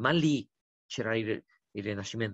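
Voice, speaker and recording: A man with a Romanian accent speaks at a fairly slow pace against a quiet background, with a dry sound and no echo. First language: Romanian (speaking Italian). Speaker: diplomat; interviewee. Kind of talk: interview. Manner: hesitant, with fillers. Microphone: video call.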